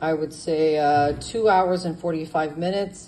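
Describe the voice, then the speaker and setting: In a room with audible echo, a woman speaks in a very deep, low voice with ordinary pitch variation. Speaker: home cook. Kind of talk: cooking tutorial. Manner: casual, with fillers.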